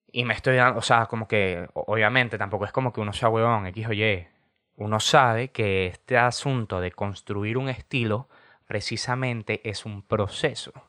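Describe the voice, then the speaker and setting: A man talks at a moderate pace in a medium pitch with a bright, sharp tone. The sound is dry and close with no echo, over a quiet background. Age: 20s. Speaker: podcast host. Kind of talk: casual monologue. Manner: animated.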